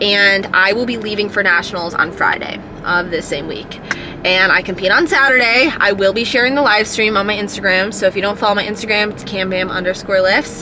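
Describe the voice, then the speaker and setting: A woman's medium-pitched voice at a fairly quick pace with ordinary pitch variation, audible room echo and noticeable background noise. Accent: American. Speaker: powerlifter vlogger. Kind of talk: casual vlog talk to camera. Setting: gym.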